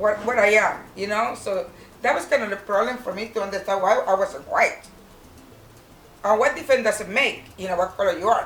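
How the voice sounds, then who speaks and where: A woman speaks with a Puerto Rican accent at a medium pitch and a fairly quick pace, with ordinary pitch variation. Noticeable background noise runs underneath. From Puerto Rico. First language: Spanish. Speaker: retired nurse, interviewee. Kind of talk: family interview. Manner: halting, many fillers.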